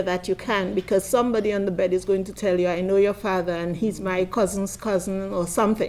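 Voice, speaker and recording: In a Caribbean accent, a woman speaks at a fairly quick pace with hardly any pauses. Her medium pitch carries fairly even intonation. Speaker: midwife and nurse. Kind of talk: conference panel talk. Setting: conference.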